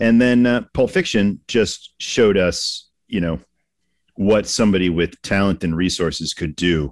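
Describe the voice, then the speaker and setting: On a very clean recording with a silent background and a dry, close sound with no echo, a man with an American accent speaks fairly slowly in an unremarkable speaking voice, fairly low in pitch with ordinary pitch variation. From Massachusetts. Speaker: immigration attorney, podcast co-host. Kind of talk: casual chat.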